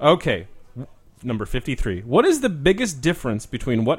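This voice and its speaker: Loud and at a moderate pace, a man with an American accent talks with very wide pitch swings. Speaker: podcast host. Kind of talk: casual chat.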